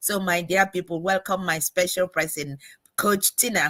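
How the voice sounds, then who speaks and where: Fairly low-pitched for a woman, bright and sharp in tone, with fairly even intonation. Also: dry, close sound with no echo. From Nigeria. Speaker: online business coach and livestream host. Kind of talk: livestream interview.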